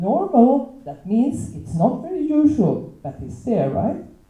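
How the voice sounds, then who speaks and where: A woman's pitch swings very widely as she speaks. Room echo is audible. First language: not English. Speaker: teacher. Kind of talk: panel talk. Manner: halting.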